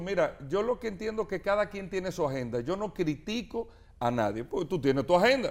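The speaker moves at a fairly quick pace with very wide pitch swings. The recording is very clean, with a silent background. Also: man. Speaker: mayoral candidate. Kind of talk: interview. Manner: animated.

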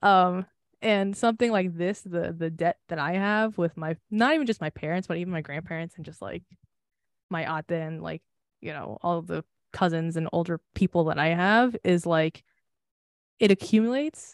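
The recording sounds dry and close, with no echo. Loudness swings widely, while the pace stays moderate and pitch varies in an ordinary way. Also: woman, fairly low pitch for a woman. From US, Filipino American family. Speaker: podcast co-host. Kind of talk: casual chat. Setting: Zoom call.

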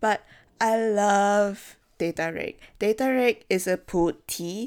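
A woman speaks at a very slow pace with a medium pitch and ordinary pitch variation. The recording is very clean, with a silent background. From Singapore. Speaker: book podcast host. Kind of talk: solo book discussion. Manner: casual, conversational.

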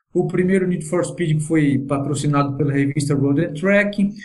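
A man talks with ordinary pitch variation and a moderate pace while noticeable noise sits in the background. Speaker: virtual racing driver. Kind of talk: casual podcast chat.

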